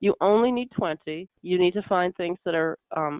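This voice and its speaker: Her pitch fairly low, a woman talks with ordinary pitch variation. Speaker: specification writer and product selection consultant. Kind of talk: webinar presentation. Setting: online webinar. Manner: fast.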